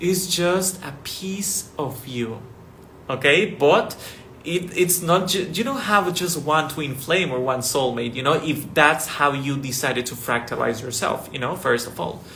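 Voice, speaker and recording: A man with a non-native accent speaks at a fairly slow pace with lively intonation. Noticeable background noise and audible room echo surround him. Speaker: spiritual teacher. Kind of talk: spiritual talk to camera. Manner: slow, deliberate; casual, many fillers.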